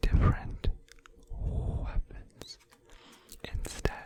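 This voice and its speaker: The speaker is whispering over noticeable background noise. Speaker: ASMR gaming content creator. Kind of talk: ASMR gameplay commentary. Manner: soft-spoken, whispering.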